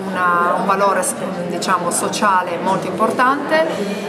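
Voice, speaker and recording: A woman at a fairly slow pace with music in the background. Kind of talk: interview answer. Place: cafe.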